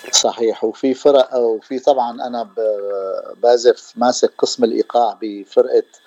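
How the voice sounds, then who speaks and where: The recording of this man with a Damascus accent sounds dry and close, with no echo. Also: fairly slow pace. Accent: Damascene Syrian Arabic. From Syria (Damascus). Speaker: percussionist. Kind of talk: radio interview. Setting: radio studio. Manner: halting.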